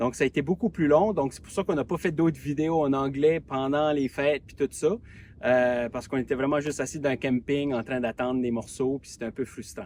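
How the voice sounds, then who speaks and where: In an Acadian accent, a man speaks at a fairly quick pace and fairly high pitch, with ordinary pitch variation and big swings in loudness. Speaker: travel vlogger. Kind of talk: casual vlog narration. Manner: hesitant, many fillers.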